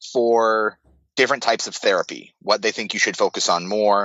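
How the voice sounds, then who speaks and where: The speaker has an American accent. The pace is moderate, with ordinary pitch variation. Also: man. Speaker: marine veteran, car crash survivor. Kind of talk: podcast interview. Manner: loud; halting, many fillers.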